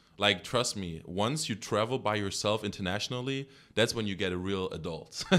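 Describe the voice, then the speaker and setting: With a German accent and a bright, sharp tone, the speaker talks at a moderate pace with ordinary pitch variation on a very clean recording with a silent background. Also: man, fairly low pitch for a man. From Germany. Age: 20s. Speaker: track and field athlete. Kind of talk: casual interview chat.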